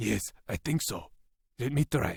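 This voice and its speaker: A man's growling, resonant, put-on character voice at a medium pitch, in a dry, close sound with no echo. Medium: read story.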